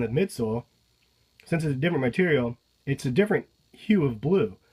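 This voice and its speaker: A man's lively intonation comes with a somewhat breathy voice. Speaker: sneaker reviewer. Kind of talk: casual talk to camera.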